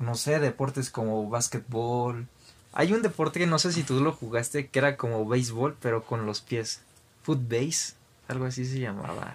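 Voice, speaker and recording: This man has an ordinary speaking voice, medium in pitch with ordinary pitch variation, delivered at a moderate pace. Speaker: podcast host. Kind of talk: casual chat.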